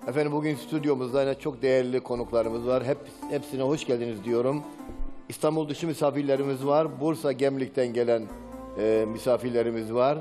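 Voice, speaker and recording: Clear music plays in the background. Over it, a man talks with fairly even intonation. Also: fairly quick pace. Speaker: TV program host. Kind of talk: religious TV program address. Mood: warm, welcoming. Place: studio. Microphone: headset.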